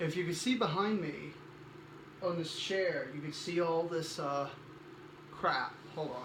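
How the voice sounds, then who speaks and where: The speech moves at a fairly slow pace with ordinary pitch variation, amid noticeable background noise and audible room echo. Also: man. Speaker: cosplayer vlogger. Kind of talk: casual vlog. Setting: guest room at home. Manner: soft-spoken.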